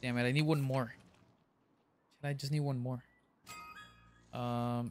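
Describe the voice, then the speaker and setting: Music runs in the background as a man speaks at a medium pitch. His pace is moderate. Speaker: gaming streamer. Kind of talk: live gameplay commentary. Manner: casual, excitable.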